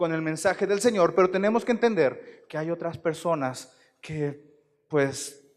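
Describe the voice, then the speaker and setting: The man's voice is high-pitched, with ordinary pitch variation. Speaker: pastor. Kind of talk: sermon.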